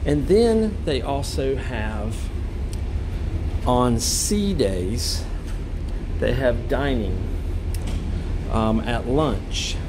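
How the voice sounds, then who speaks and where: A man amid noticeable background noise. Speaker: cruise passenger vlogger. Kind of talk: walking tour commentary. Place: hall. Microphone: phone near.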